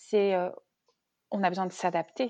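A woman talks fairly slowly, and the background stays quiet. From Brittany, Rennes area. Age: 30s. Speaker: wine shop owner, former consultant. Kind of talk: interview, casual chat. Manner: hesitant, many fillers.

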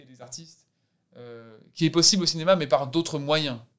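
With an ordinary speaking voice, a man talks at a moderate pace using fairly even intonation. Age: 30s. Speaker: actor. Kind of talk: casual chat.

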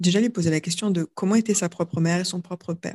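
A woman talks at a fairly quick pace in a dark, mellow tone. Her pitch is fairly low and her intonation fairly even. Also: dry, close sound with no echo. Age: 30s. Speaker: yoga teacher and author. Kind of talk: casual chat. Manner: halting.

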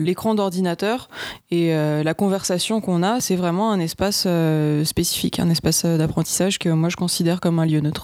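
A woman speaks in an unremarkable speaking voice at a fairly low pitch. Her pace is fairly quick and her intonation fairly even. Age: 30s. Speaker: online English teacher. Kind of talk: casual interview.

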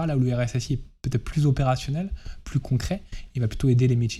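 His voice is somewhat breathy. The man speaks at a fairly quick pace. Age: 30s. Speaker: chief information security officer. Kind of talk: interview. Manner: hesitant, many fillers.

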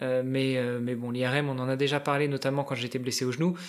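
A man speaks at a moderate pace and a medium pitch. He has an unremarkable speaking voice. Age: 40s. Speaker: amateur endurance athlete. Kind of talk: casual chat.

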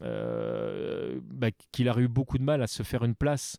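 On a very clean recording with a silent background, a man's medium-pitched voice has a dark, mellow tone and a dry, close sound with no echo. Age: 40s. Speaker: podcaster. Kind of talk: casual chat.

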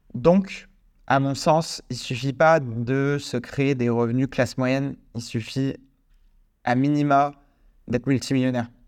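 With long, frequent pauses, a man speaks at a very slow pace and medium pitch in fairly even intonation. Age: 20s. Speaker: podcast host and real estate investor. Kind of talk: solo podcast monologue. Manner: casual, with many fillers.

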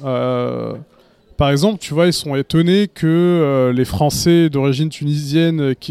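A man speaks in a fairly high pitch with a dark, mellow tone and ordinary pitch variation, recorded with a dry, close sound and no echo. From France, Tunisian immigrant parents. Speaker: podcast panelist. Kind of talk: casual chat.

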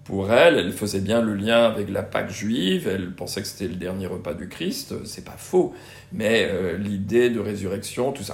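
A man's fairly low voice with audible room echo. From Brittany, France. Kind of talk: interview. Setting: in-person interview at a student residence. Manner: hesitant, many fillers and repetitions.

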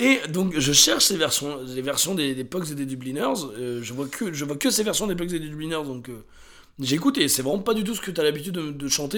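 A man talks at a very fast pace in a fairly high pitch, with lively intonation. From France, Drôme (Montélimar). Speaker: podcast co-host. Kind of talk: casual chat.

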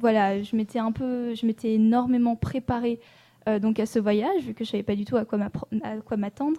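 A woman's fairly high, dark, mellow voice with fairly even intonation at a moderate pace, in a dry, close sound with no echo. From French Alps (Annecy). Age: 20s. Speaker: political science student and traveler. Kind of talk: interview. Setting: studio.

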